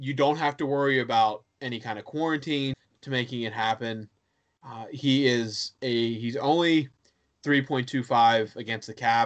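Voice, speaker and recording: Speaking in a plain, everyday voice with an American accent, a man keeps a moderate pace, medium pitch and fairly even intonation against a quiet background. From western Pennsylvania (Johnstown). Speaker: hockey blog writer. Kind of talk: casual chat.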